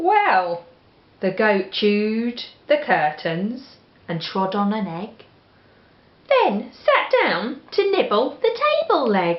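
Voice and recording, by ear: With an English accent, a woman talks slowly at a medium pitch, her voice swinging very widely in pitch against audible room echo.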